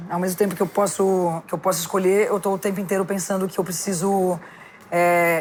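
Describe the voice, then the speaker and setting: Her medium-pitched voice moves at a fairly quick pace, this woman keeping a monotone, flat intonation throughout. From São Paulo. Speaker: actress and voice-over artist. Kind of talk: casual chat. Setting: podcast recorded in a bar set.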